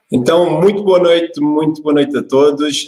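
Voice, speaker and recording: Heard with an Algarve accent, a man speaks with ordinary pitch variation. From Algarve, southern Portugal. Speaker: fitness coach. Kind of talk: online workshop talk. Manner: calm, deliberately slow.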